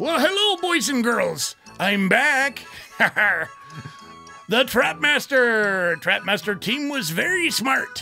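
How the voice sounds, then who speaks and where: A put-on character voice, fairly high-pitched with very wide pitch swings. It moves at a very slow pace over clear music in the background. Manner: playful, theatrical.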